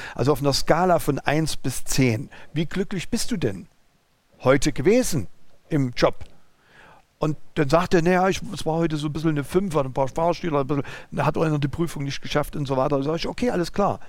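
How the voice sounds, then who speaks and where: A man with a fairly high pitch talks at a fairly quick pace with ordinary pitch variation. He leaves long, frequent pauses. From East Germany (former GDR). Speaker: business owner, driving school. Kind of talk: interview conversation. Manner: halting.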